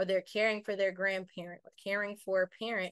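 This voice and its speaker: The speech moves at a fairly quick pace, with a dry sound free of echo against a quiet background. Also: woman. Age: young. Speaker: youth caregiver, radio host, motivational speaker. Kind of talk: interview answer. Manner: well spoken, mature. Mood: positive, proud, earnest. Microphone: video call.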